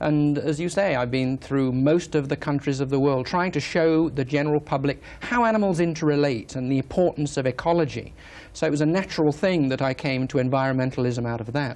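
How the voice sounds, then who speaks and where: Here a man speaks with an English accent. His pace is fairly quick, with ordinary pitch variation. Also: fairly high pitch for a man, hardly any pauses. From England. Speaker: wildlife filmmaker and environmentalist. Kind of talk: TV interview.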